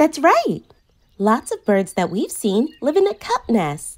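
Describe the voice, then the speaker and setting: The pace of this woman is fairly slow. Her pitch moves up and down very widely. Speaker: children's show host. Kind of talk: educational kids' show narration.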